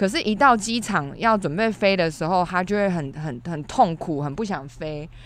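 A plain, everyday voice from a woman with a fairly low pitch, lively intonation, a moderate pace, and hardly any pauses. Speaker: podcast co-host. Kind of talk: casual chat. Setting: studio.

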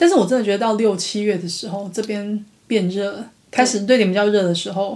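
The speaking voice is unremarkable and moves at a fairly quick pace. Its pitch varies in an ordinary way. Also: woman, medium pitch for a woman. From Taiwan. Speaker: podcast co-host. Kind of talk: casual chat.

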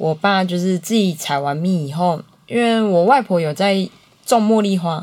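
At a fairly slow pace, a woman uses a plain, everyday voice of medium pitch with ordinary pitch variation. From Taiwan, Changhua (Huatan). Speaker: small business owner, beekeeping family. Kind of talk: interview.

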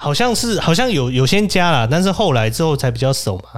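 The voice moves through very wide pitch swings at a fairly quick pace. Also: man. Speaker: podcast host, social worker. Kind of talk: casual chat. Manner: animated, frequent laughter.

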